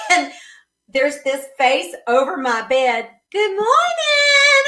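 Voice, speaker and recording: A woman with a Southern US accent speaks very slowly in a raised, projected voice with very wide pitch swings. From US South, South Carolina (Lexington, Red Bank). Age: 60s. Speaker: singer and voice teacher. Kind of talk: casual chat.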